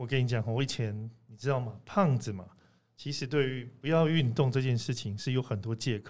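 Using a plain, everyday voice, a man speaks at a moderate pace and medium pitch with ordinary pitch variation and big swings in loudness. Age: middle-aged. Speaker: podcast host. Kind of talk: casual chat.

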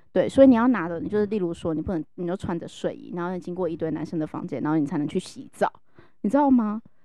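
This woman talks very fast in a fairly low, animated voice. Her pitch swings very widely and her loudness shifts a lot. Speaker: HR professional. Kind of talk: casual chat.

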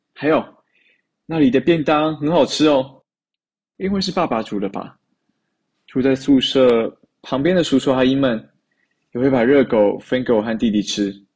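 Long, frequent pauses break up a man's speech at a moderate pace. His pitch is medium, with ordinary variation. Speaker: university student, storyteller. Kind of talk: recorded personal storytelling.

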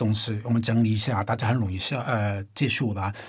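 A man with a somewhat breathy voice talks at a fairly quick pace. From Hong Kong. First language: Cantonese (speaking Chinese). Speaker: independent musician. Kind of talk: casual chat.

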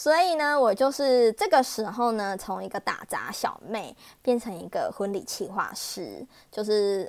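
Lively intonation marks this woman's fairly high voice at a fairly slow pace. Her loudness swings widely. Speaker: wedding planner and emcee. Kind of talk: casual monologue. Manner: animated.

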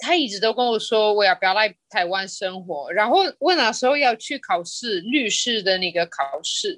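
With hardly any pauses, a woman with a fairly high pitch talks at a moderate pace using very wide pitch swings. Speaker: entrepreneur. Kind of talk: interview conversation. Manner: halting.

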